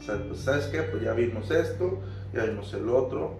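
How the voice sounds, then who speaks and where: Music plays in the background as a man talks at a moderate pace amid audible room echo. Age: 20s. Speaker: podcast guest sharing anxiety experience. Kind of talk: interview testimony.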